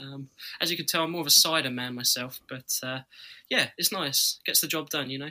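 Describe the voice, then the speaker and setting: In a British accent, a man speaks with a bright, sharp tone and ordinary pitch variation on a very clean recording with a silent background. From UK. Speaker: roller coaster YouTuber. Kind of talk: casual podcast chat.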